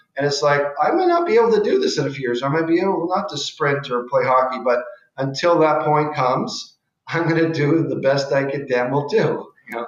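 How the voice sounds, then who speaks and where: The speech moves at a fairly quick pace, and there is audible room echo. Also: man, fairly high pitch for a man, ordinary pitch variation. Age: 60s. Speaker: cosmetic surgeon. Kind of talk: casual chat. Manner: halting, with frequent restarts.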